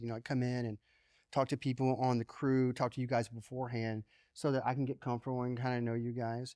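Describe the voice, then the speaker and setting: A man with an American accent speaks at a very fast pace in a dark, mellow tone of medium pitch. His intonation is monotone and flat, and the background is quiet. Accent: Southern, lighter than it used to be. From US South, small-town Georgia. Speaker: creative director. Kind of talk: podcast interview.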